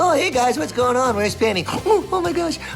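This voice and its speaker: Over loud background noise, a man puts on a character voice at an extremely high pitch, talking at a fairly quick pace. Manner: bright, energetic, friendly.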